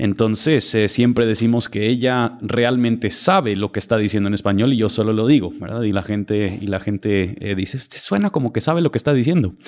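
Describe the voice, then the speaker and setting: The talking moves at a fairly quick pace with hardly any pauses. Pitch variation is ordinary. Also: man, medium pitch for a man. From Mexico City, raised by US missionary parents. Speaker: pastor. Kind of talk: podcast interview. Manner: hesitant, many fillers and repetitions.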